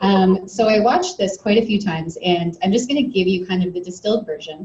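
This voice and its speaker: Her voice is somewhat breathy. The woman talks at a fairly quick pace. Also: medium pitch for a woman, ordinary pitch variation. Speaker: presenter at an essential oils meeting. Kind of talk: presentation to a live audience. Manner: conversational, many fillers.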